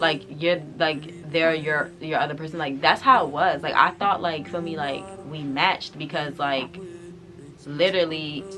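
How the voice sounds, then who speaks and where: A woman speaks at a very deep, low pitch with ordinary pitch variation. Noticeable background noise runs underneath. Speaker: YouTuber. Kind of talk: storytime vlog. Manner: fast; animated.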